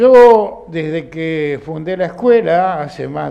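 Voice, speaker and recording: Noticeable background noise runs under a man who speaks at a very slow pace with a high pitch and lively intonation. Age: 80s+. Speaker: philosophy school director and teacher. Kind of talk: film commentary talk to an audience. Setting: film club session with audience.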